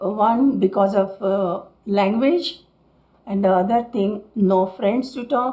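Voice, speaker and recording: A woman speaks very slowly with an Indian accent. Her pitch is medium, with ordinary pitch variation. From Mumbai, India. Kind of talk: interview answer.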